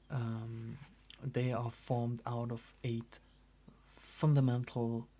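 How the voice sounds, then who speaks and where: The speaker talks at a very slow pace in a German accent. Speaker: artist and oracle creator. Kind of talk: casual presentation. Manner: halting, many fillers.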